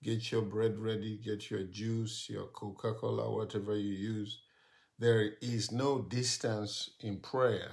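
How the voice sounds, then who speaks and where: A man speaks very slowly in a fairly low, somewhat breathy voice with flat, monotone intonation. The background is quiet. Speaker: pastor. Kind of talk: live stream prayer and sermon. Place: home room. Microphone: phone near.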